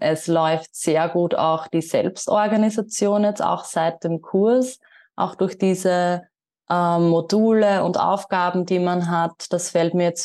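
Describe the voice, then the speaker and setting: Against a quiet background, a woman with a fairly low pitch and a dark, mellow tone speaks at a very slow pace, with very even loudness and fairly even intonation. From Austria. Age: 20s. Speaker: yoga teacher. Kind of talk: interview.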